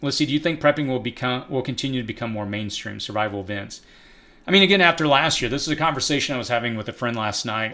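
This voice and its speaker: A man in an American accent, medium pitch, bright and sharp tone, ordinary pitch variation, on a very clean recording with a silent background. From East Texas. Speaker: prepping channel host, live streamer. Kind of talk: live stream Q&A. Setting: live stream. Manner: casual, conversational.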